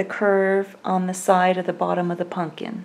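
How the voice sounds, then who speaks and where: In a Southern US accent, a woman speaks calmly and fairly slowly with a dark, mellow tone. The recording is very clean, with a silent background. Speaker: crochet instructor. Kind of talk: tutorial. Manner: calm, step-by-step instructional.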